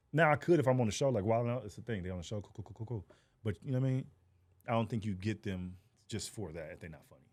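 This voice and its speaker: Racing at a very fast pace, a man with an American accent speaks with lively intonation and big swings in loudness. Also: medium pitch for a man. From Texas, Fort Worth. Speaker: comedian. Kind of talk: casual chat.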